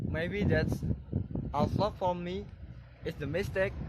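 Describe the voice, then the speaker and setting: A man speaks with an Indonesian accent. There is vocal fry in his voice. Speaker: civil engineering student. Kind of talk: vlog explanation to camera. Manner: stiff.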